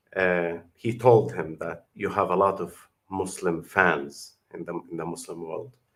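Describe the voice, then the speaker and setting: This man talks at a fairly slow pace with an Arabic accent, his pitch very deep and low. His pitch variation is ordinary, while his loudness swings widely. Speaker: YouTube commentator. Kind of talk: video reaction commentary. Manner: halting.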